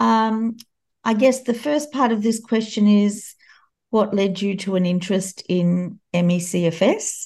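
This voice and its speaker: A woman with an Australian accent speaks at a fairly slow pace. Her pitch variation is ordinary, and the background is quiet. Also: medium pitch for a woman. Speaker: podcast host, charity CEO. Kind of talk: interview; scripted narration.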